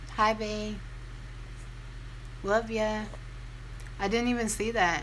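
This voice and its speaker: Audible room echo around a woman's very slow delivery. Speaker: beauty and lifestyle vlogger. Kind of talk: casual chat. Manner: conversational, rambling with fillers.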